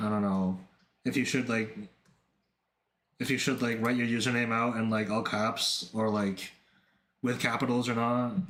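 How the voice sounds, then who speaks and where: A man speaks in a monotone with flat intonation and very even loudness at a moderate pace, leaving long, frequent pauses. Audible room echo surrounds his voice. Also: medium pitch for a man. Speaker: art streamer. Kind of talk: casual livestream chat. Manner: halting, repetitive fillers.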